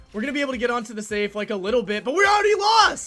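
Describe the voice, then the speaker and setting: Over music in the background, a man speaks very fast in a raised, projected, animated voice at an extremely high pitch, with very wide pitch swings. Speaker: gaming YouTuber. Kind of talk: live gameplay commentary.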